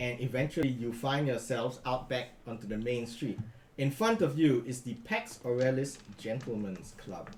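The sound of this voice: An unforced reading voice is heard. It runs from start to finish.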